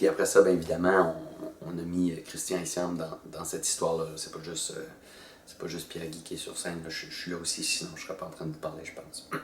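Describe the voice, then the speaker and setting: Very fast speech with big swings in loudness and audible room echo. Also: man. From northern New Brunswick, Acadia. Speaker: actor and storyteller. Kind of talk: promotional interview. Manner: hesitant, many fillers; casual, colloquial.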